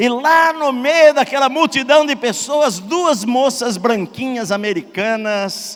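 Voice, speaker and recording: A man with an interior São Paulo accent. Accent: Brazilian caipira (rural countryside). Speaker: pastor. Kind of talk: sermon.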